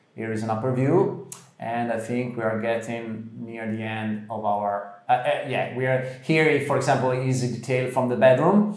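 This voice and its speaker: Audible room echo and noticeable background noise surround the speech. It moves at a moderate pace, with ordinary pitch variation and hardly any pauses. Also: man, medium pitch for a man. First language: Italian. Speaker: interior design presenter. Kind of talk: casual chat. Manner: halting.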